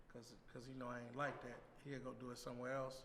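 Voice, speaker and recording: A man at medium pitch talking at a very fast pace, with audible room echo. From Chicago, west side. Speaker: rapper. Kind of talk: casual interview.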